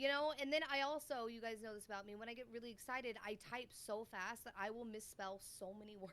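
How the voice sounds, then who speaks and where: A woman speaks at a moderate pace in an animated tone, her fairly high pitch showing ordinary variation. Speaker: podcast co-host and streamer. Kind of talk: casual chat. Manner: loud, animated.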